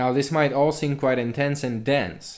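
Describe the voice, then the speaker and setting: The speaker has a non-native accent, and audible room echo surrounds the voice. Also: man. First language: not English. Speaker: university lecturer. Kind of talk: lecture. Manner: formal.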